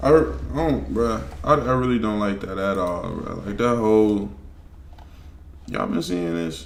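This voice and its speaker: A man speaks at a moderate pace in a fairly low voice, his pitch swinging very widely. Audible room echo surrounds his words. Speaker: streamer reacting to videos. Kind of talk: casual reaction commentary. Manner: stuttering, repeats words.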